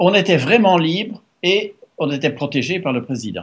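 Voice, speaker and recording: The man's voice sits at a high pitch. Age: 70s. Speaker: author and former EU policy adviser. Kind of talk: interview. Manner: halting.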